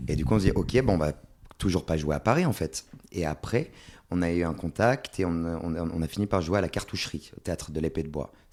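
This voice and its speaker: Fairly quick speech with ordinary pitch variation. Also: man, very deep, low pitch for a man. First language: Swedish (speaking French). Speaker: stage actor. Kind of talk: podcast interview.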